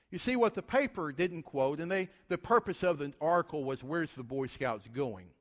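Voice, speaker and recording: Heard dry and close with no echo, a man with a Southern US accent and a fairly high pitch speaks at a moderate pace with very wide pitch swings. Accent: Southern American. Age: 40s. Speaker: guest preacher. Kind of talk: sermon.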